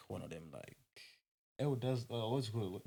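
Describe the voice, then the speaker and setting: This man has a somewhat breathy voice pitched in the medium range. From Zimbabwe (Mutare area). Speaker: podcast host. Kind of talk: casual chat.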